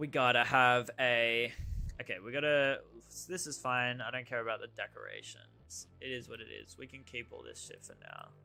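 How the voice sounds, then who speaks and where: Over music in the background, a man with an Australian accent talks at a moderate pace with big swings in loudness. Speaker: game developer streamer. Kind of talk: casual live stream while coding. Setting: live stream from home setup. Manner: casual, halting with fillers.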